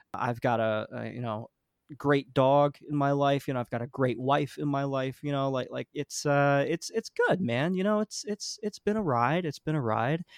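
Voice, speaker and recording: A man with a New Jersey accent speaks at a moderate pace, fairly high in pitch with ordinary pitch variation, in a dry, close sound with no echo. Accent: New Jersey American. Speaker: musician. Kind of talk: casual chat.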